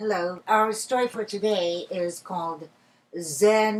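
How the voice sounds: Fairly even intonation in a natural reading voice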